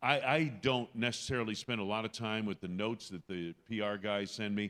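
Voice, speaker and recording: This man has an unremarkable speaking voice at a medium pitch. He talks fairly quickly in a very clean recording with a silent background. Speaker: radio play-by-play announcer. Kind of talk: interview answer. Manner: conversational, explanatory.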